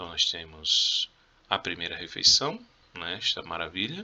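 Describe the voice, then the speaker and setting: A man speaks against noticeable background noise. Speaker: Spanish teacher. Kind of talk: video lesson, exam review. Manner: casual, conversational.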